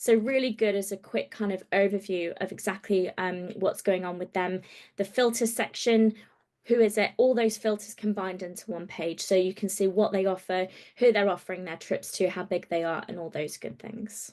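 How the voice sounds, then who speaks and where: A woman with an ordinary speaking voice talks at a moderate pace and medium pitch, her intonation fairly even, against a quiet background. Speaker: travel trade platform presenter. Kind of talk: training webinar walkthrough.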